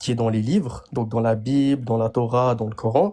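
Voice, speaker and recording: A man speaks with a slight Geneva accent. His tone is dark and mellow. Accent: slight Geneva-area Swiss French. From Turkish family, lives in Switzerland. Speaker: live-stream participant. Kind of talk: debate. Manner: halting.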